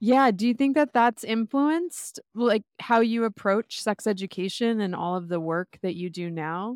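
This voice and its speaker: A woman speaks in a normal speaking voice at a moderate pace, her pitch fairly high. The recording is very clean with a silent background, and the sound is dry and close with no echo. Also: lively intonation. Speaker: podcast host. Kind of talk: casual chat.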